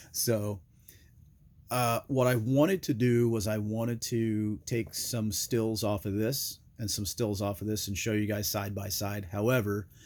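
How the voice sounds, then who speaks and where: A man with a normal speaking voice, fairly low pitch, fairly slow pace and fairly even intonation, on a very clean recording with a silent background. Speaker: gear reviewer. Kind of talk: product review. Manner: casual with many fillers.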